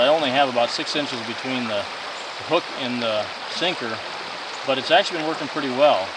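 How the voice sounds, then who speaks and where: A man at a moderate pace with ordinary pitch variation, in a dry sound with no echo and loud background noise. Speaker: vlogger. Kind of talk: casual fishing tutorial chat. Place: boat. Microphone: phone near.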